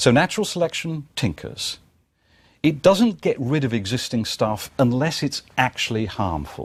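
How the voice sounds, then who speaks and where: A man with a British accent speaks at a moderate pace, somewhat breathy, with very wide pitch swings. The recording is very clean with a silent background. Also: medium pitch for a man. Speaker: lecturer. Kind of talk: lecture.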